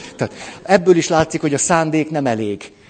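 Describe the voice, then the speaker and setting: Against noticeable background noise, a man with a fairly high pitch speaks in an animated tone with lively intonation. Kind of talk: lecture.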